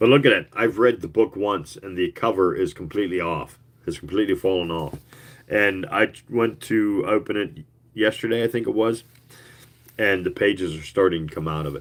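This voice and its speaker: A man's mumbling with big swings in loudness and ordinary pitch variation. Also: moderate pace. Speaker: YouTuber reading old booklets. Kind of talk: casual chat. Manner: hesitant, many fillers.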